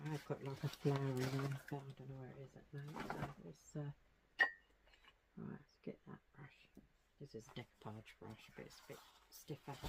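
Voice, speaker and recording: The speech is quiet and mumbled at a moderate pace, broken by long, frequent pauses. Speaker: craft tutorial creator. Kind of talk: tutorial. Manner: mumbling, quiet; casual, chatty.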